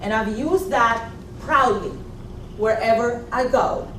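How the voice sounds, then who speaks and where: A woman at a fairly slow pace with ordinary pitch variation, amid noticeable background noise and audible room echo. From Puerto Rico. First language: Spanish. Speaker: executive coach and former trial attorney. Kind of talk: motivational talk. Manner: animated.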